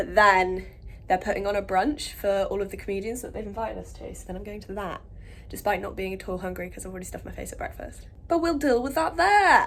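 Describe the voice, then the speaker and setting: A woman with an English accent speaks very fast, her loudness swinging widely, with audible room echo. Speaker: comedian and vlogger. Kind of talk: casual vlog. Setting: cruise ship. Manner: animated.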